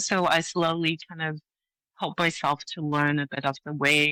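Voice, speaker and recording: With a slight Hong Kong accent, a woman speaks at a very deep, low pitch in a bright, sharp tone with fairly even intonation, in a dry, close sound with no echo and a very clean recording with a silent background. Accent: slight British-tinged Hong Kong. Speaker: leadership coach. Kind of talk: interview.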